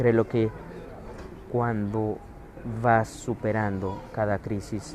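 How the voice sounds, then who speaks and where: With a Mexican accent, a man with a fairly low pitch speaks in a monotone, flat intonation over noticeable background noise. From Mexico. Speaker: spiritual wellness speaker. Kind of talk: livestream talk. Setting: airport.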